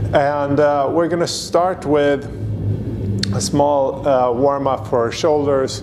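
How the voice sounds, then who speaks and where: Over music in the background, a man talks at a very slow pace with ordinary pitch variation. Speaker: fitness coach. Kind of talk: workout instruction. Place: gym. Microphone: lapel.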